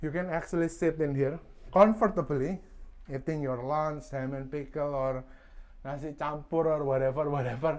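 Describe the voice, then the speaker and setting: A man with a non-native accent speaks at a moderate pace, his fairly high voice carrying fairly even intonation. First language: not English. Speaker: boat owner reviewer. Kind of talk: casual video walkthrough review.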